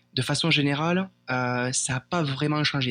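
This man's fairly high pitch comes with fairly even intonation. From France. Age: 20s. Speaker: airline pilot. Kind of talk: interview. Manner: halting.

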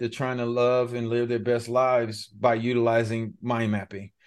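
A man with a Californian accent, medium in pitch, at a fairly quick pace over a quiet background. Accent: Californian American English. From Los Angeles, Pacoima. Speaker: former pro football player and mind mapping coach. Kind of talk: interview.

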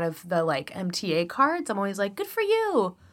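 A woman with a Chicago accent speaks at a medium pitch and a fairly quick pace in an animated tone. The recording is very clean, with a silent background. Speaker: podcast co-host. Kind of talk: casual chat.

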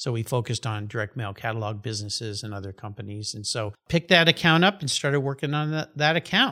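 The speaker talks at a very fast pace with hardly any pauses, in an American accent. Loudness swings widely throughout. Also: man, medium pitch for a man. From Southern California. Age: 60s. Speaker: podcast host. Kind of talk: casual interview. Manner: laughs often.

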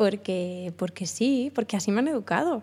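A woman speaks at a moderate pace in a medium pitch. Her voice is somewhat breathy with a dark, mellow tone. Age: 30s. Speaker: podcaster. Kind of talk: casual chat. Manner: halting.

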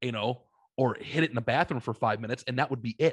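A somewhat breathy man with an American accent, medium pitch, ordinary pitch variation and a fairly quick pace, in a dry, close sound with no echo over a quiet background. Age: 30s. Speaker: podcast host. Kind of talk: casual chat.

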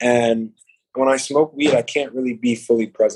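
Speaking at a moderate pace, a man with a New York accent has a dark, mellow tone. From New York, Uptown Manhattan. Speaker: clothing designer. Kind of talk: casual chat.

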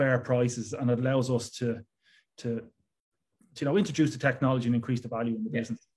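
In a Dublin accent, a man speaks at a fairly quick pace and a medium pitch, somewhat breathy. His intonation is fairly even, and the recording is very clean with a silent background. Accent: Dublin Irish. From Ireland, Dublin. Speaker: tech startup founder and CEO. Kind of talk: interview.

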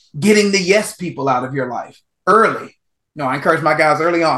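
A man speaks with an American accent and lively intonation. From Texas, small town. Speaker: author and mental performance coach. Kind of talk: interview. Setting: podcast or radio show.

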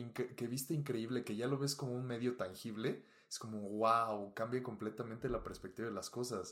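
This is a man with medium pitch and an unremarkable speaking voice. He talks at a moderate pace. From Mexico. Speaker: fashion photographer. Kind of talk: casual chat. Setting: studio.

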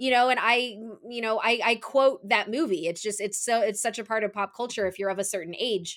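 A woman's normal speaking voice, fairly high in pitch, at a fairly quick pace with ordinary pitch variation. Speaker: film podcaster. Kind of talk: casual chat.

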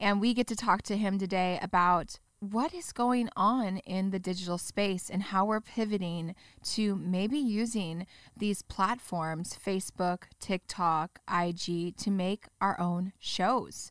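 A woman with an American accent speaks very slowly at a medium pitch, her intonation fairly even and the sound dry and close with no echo. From Orange County, California. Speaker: podcast host. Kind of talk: casual interview chat. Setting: studio.

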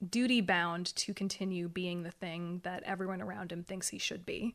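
On a very clean recording with a silent background, a woman with an American accent speaks at a medium pitch with fairly even intonation. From Oregon. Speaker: young adult fantasy author. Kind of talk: interview.

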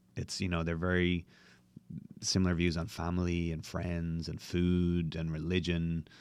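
With a Dublin accent, a man speaks in a very deep, low pitch and fairly even intonation over a very clean recording with a silent background. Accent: Irish (Dublin). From Dublin, Ireland. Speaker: bartender. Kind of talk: interview conversation.

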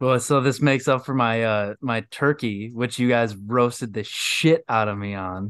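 With a quiet background, a man with an American accent speaks in a plain, everyday voice at medium pitch and a moderate pace, with ordinary pitch variation and hardly any pauses. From Michigan. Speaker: podcast guest, sports fan. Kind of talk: casual chat. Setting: video call.

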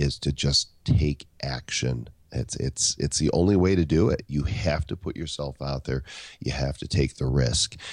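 A man's very deep, low voice with vocal fry and ordinary pitch variation, at a fairly slow pace. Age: 50s. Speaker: author and keynote speaker. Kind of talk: interview.

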